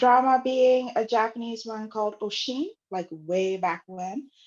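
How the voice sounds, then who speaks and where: This woman's voice sits fairly high. Its pitch varies in an ordinary way. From Ghana. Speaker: club co-admin, training manager. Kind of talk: casual chat.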